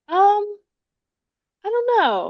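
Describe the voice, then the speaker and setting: Against a quiet background, a woman is soft-spoken. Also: dry, close sound with no echo. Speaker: author and webtoon creator. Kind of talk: casual interview chat. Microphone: audio sometimes drops out when quiet.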